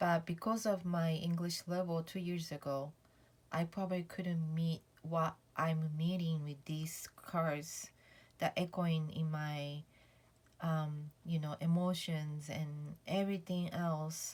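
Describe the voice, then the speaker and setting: A woman with a non-native accent speaks at a very slow pace. Her voice is somewhat breathy and her intonation flat and monotone. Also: fairly low pitch for a woman. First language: not English. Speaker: tarot vlogger. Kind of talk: casual chat. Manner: halting, many fillers.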